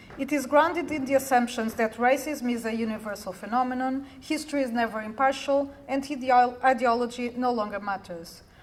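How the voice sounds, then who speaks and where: Speaking at a fairly quick pace with hardly any pauses, a woman uses a high voice with ordinary pitch variation. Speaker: academic researcher. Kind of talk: conference talk. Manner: fast; formal. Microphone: too quiet, not speaking into the mic.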